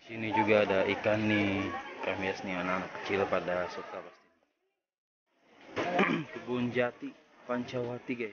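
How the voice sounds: In a room with audible echo, a man with a fairly low pitch and fairly bright tone speaks at a moderate pace with ordinary pitch variation.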